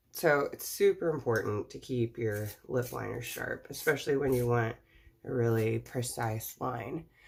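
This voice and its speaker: Very deep and low in pitch, a woman's somewhat breathy voice moves at a moderate pace with ordinary pitch variation and big swings in loudness. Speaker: makeup tutorial vlogger. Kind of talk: tutorial. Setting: at home. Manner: casual, chatty.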